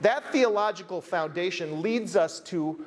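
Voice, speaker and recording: A man with an American accent talks at a high pitch with lively intonation. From United States. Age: 50s. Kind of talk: conference keynote talk.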